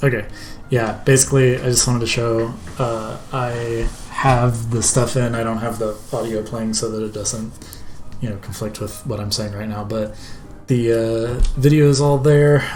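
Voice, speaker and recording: A man at a moderate pace, fairly even intonation, faint music in the background. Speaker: student game developer; game developer streamer. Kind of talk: casual devlog narration. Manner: halting, many fillers. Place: home room. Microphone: headset.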